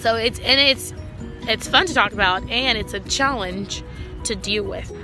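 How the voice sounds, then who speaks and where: Background music accompanies this recording. The female speaker keeps a moderate tempo. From Brazil. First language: Portuguese. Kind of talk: casual talk to camera. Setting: outdoors.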